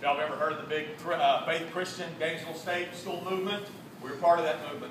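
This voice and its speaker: A man with an American accent talks very fast in a high, flat monotone, his loudness swinging widely, with audible room echo and noticeable background noise. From Texas. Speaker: football coach and outreach speaker. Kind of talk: testimony.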